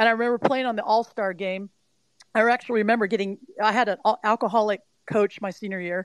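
With an American accent and a plain, everyday voice, a woman talks at a fairly quick pace and fairly high pitch, ordinary pitch variation, in a dry, close sound with no echo. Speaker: mental performance coach. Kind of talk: interview. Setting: live audio stream.

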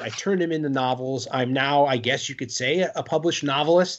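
A normal speaking voice from a man with an American accent, fairly high in pitch, with ordinary pitch variation. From Connecticut, New Haven. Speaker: author and actor. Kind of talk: casual chat.

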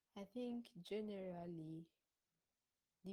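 A somewhat breathy, dark, mellow voice at a fairly slow pace. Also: woman. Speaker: discussion panelist. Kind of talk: panel discussion contribution. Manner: hesitant, many fillers.

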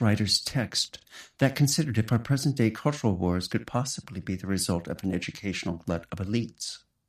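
A man with an American accent has an unremarkable speaking voice at medium pitch. He talks at a fairly quick pace with lively intonation on a very clean recording with a silent background. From United States. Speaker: podcast co-host. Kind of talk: scripted narration.

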